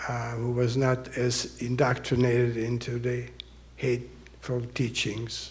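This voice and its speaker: In an audibly echoing room, a man at medium pitch talks in a somewhat breathy voice with monotone, flat intonation. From Austria (Vienna). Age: 80s+. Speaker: Holocaust survivor speaker. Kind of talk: audience Q&A.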